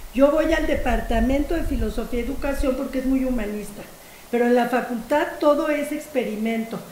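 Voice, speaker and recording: A woman's high voice at a fairly quick pace with ordinary pitch variation, with audible room echo and noticeable background noise. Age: 60s. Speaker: philosophy professor. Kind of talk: lecture. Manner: animated.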